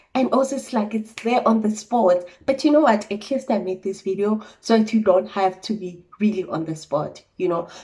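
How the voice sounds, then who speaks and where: An ordinary speaking voice at a moderate pace, hardly any pauses, with ordinary pitch variation. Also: woman, medium pitch for a woman. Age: 20s. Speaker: trainee accountant. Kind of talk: casual talk to camera.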